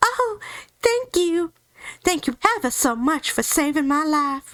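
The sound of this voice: In a squeaky, put-on character voice at an extremely high pitch, a woman speaks at a fairly slow pace.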